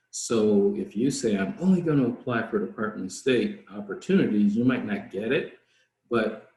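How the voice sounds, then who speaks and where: A man's medium-pitched, somewhat breathy voice with very wide pitch swings. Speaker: foreign service officer speaking to students. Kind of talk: career Q&A session. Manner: fast.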